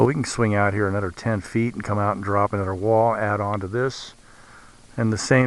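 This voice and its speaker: Pitched in a medium range, a man speaks at a moderate pace. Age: 60s. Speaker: vlogger documenting building project. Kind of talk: casual video update. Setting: outdoors. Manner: halting, with many fillers.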